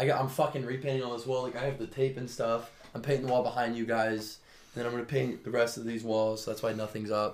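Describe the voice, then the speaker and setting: This man talks very fast at a medium pitch. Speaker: podcast host. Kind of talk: casual chat. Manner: animated.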